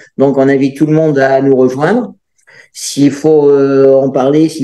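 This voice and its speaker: A man speaks at a medium pitch and a moderate pace. His tone is dark and mellow, with fairly even intonation. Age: 60s. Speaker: amateur senior bachata dancer. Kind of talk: interview. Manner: hesitant, many fillers.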